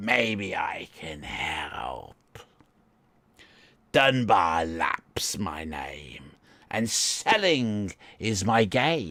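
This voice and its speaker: Using a put-on character voice, a man speaks raspy and fairly low at a very slow pace, with long, frequent pauses. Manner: salesman pitch, chatty.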